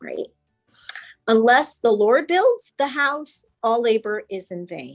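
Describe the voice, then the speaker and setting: A woman's pitch swings very widely. Music plays in the background. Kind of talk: coaching presentation.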